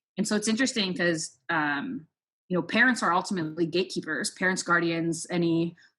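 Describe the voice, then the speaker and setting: Fairly low pitch from a woman, with a bright, sharp tone, ordinary pitch variation, very even loudness and a fairly quick pace. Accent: Toronto. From Canada, Scarborough, Ontario. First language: Spanish. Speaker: sports nonprofit program manager. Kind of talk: interview.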